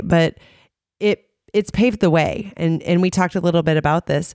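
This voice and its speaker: An unremarkable speaking voice moves at a moderate pace with ordinary pitch variation, captured dry and close with no echo on a very clean recording with a silent background. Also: woman. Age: 30s. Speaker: radio host. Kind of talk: casual interview. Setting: studio.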